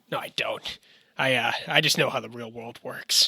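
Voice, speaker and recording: Mumbling at a moderate pace, a man does a raspy put-on character voice with big swings in loudness. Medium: audio drama. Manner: hesitant, mumbling, filler-laden.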